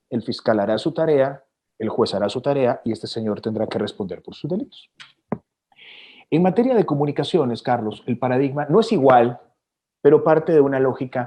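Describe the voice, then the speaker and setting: With lively intonation and long, frequent pauses, a man speaks in a fairly high pitch and a dark, mellow tone. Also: moderate pace. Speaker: TV news anchor. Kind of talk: interview answer.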